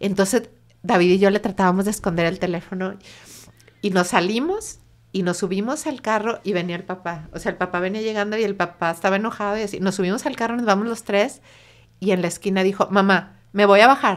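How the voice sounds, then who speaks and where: A woman speaks with a Mexican accent at a fairly quick pace. Her intonation stays fairly even. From Mexico. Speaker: bereaved mother and suicide prevention activist; guest. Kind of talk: emotional personal testimony. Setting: in-person studio interview. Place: studio. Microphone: studio mic.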